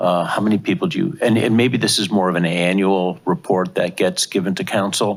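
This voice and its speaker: A man with a fairly low pitch and a plain, everyday voice speaks at a moderate pace. The recording is very clean, with a silent background. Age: 60s. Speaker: city council member. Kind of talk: public budget hearing questioning.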